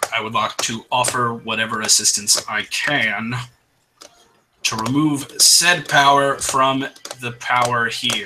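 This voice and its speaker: Putting on a raspy character voice, a man talks at a fairly slow pace with a medium pitch and fairly even intonation. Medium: actual play. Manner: clipped, cold, matter-of-fact.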